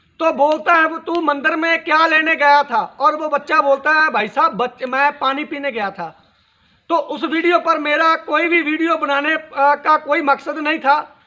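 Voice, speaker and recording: Raising and projecting his voice, a man with a Punjabi accent speaks at an extremely high pitch with a bright, sharp tone and fairly even intonation. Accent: Punjabi-accented Hindi. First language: Punjabi (speaking Hindi). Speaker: social media commentator. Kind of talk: video monologue on current affairs. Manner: halting.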